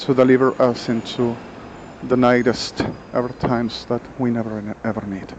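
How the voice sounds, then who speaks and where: Over noticeable background noise, a man with a non-native accent talks in a monotone, flat intonation. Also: medium pitch for a man, moderate pace. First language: Spanish. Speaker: vlogger. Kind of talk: monologue vlog. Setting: outdoors on a street. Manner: halting.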